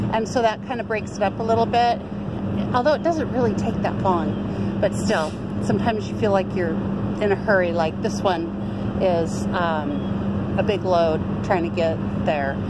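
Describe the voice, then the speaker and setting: A woman's moderately paced speech competes with loud background noise. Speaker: truck driver vlogger. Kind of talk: casual vlog chat. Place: street.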